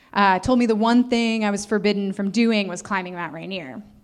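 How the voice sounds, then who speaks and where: Fairly quick speech from a woman amid audible room echo. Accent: American. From US Midwest, northeastern Ohio. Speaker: mountaineering instructor. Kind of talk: live storytelling talk. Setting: stage with audience. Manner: animated.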